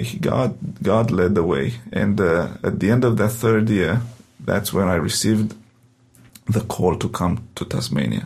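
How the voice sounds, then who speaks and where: A man with a Romanian accent talks at a fairly slow pace in a fairly low pitch. His intonation is lively, and vocal fry runs through his voice. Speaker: pastor. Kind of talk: interview testimony. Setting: studio.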